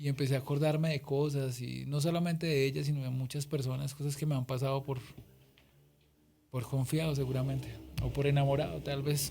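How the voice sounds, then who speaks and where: Music plays in the background as a man speaks with a fairly high pitch. His pace is fairly quick and his intonation monotone and flat. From Colombia, Boyacá. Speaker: singer-songwriter. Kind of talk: interview.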